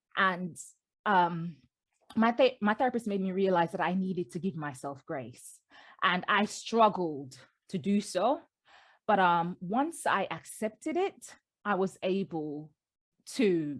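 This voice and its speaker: A woman at a medium pitch speaks at a fairly slow pace with long, frequent pauses, on a very clean recording with a silent background. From Britain, Jamaican family. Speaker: memoir author. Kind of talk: interview.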